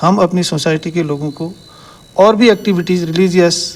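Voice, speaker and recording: This man has a high-pitched voice. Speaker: senior citizens' group organizer. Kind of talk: interview at community event.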